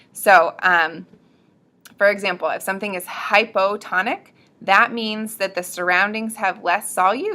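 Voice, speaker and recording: A woman's medium-pitched voice with fairly even intonation and a bright, sharp tone. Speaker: student presenter explaining biology. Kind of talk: educational tutorial. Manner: fast; casual, with many fillers.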